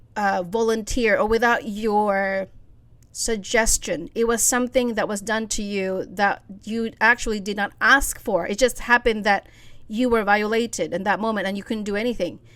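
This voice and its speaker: This is an ordinary speaking voice with fairly even intonation. The pace is moderate. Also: woman, fairly high pitch for a woman, very clean recording, silent background. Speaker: faith-based self-help podcaster. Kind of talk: solo podcast talk.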